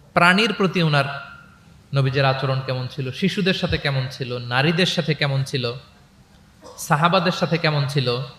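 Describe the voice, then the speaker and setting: A man's fairly high voice, showing ordinary pitch variation, comes through noticeable background noise. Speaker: Islamic preacher. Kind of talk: religious lecture to a live audience.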